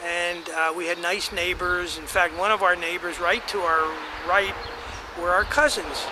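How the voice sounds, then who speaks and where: The intonation is monotone and flat, with an American accent. Noticeable background noise runs underneath. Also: man. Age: 80s+. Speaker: family elder telling family history. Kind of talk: oral history reminiscence. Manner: halting, many fillers and restarts.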